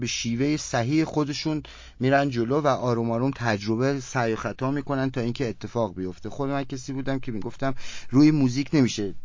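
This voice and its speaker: Talking at a fairly quick pace, a man with an unremarkable speaking voice uses a medium pitch and ordinary pitch variation. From Iran, Kerman. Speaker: rock musician. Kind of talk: interview.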